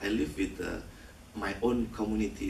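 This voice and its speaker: Speaking at a moderate pace with an Indonesian accent, a man is heard with audible room echo. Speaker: film director. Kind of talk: post-screening Q&A. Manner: halting.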